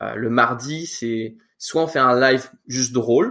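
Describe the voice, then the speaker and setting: Intonation stays fairly even throughout. It is an ordinary speaking voice. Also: man. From France, in Quebec since about age 9. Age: 20s. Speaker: church youth leader and student. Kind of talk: casual interview.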